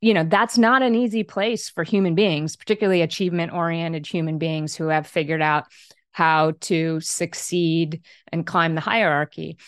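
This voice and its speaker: A woman speaks at a moderate pace in a plain, everyday voice. It sits fairly low, with ordinary pitch variation. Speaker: author and leadership coach. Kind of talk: interview.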